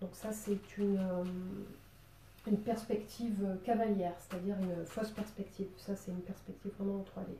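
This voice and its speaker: A woman with a southern French accent talks at a moderate pace in a medium pitch, somewhat breathy, with a dark, mellow tone. Her intonation stays monotone and flat. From southern France, Marseille. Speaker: drawing teacher. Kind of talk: tutorial. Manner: casual, hesitant with many fillers.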